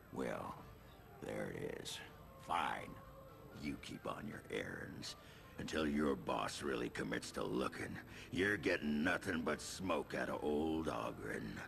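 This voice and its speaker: Putting on a character voice, a man talks fairly slowly over clear background noise. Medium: game stream. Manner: gruff, grumbling.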